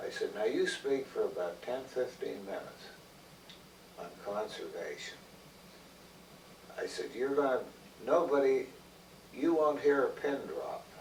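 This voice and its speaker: The man speaks fairly slowly, with long, frequent pauses, and noticeable background noise is present. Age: 80s+. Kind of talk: interview answer.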